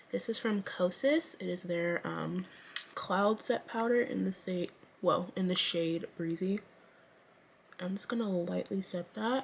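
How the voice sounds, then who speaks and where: Her words come at a fairly slow pace. This woman is heard over noticeable background noise. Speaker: beauty youtuber. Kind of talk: makeup tutorial. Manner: casual and chatty.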